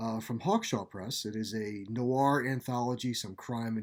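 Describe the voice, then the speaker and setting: A man with a plain, everyday voice at a medium pitch and a moderate pace, on a very clean recording with a silent background. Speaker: author narrating his own fiction. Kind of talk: podcast host introduction.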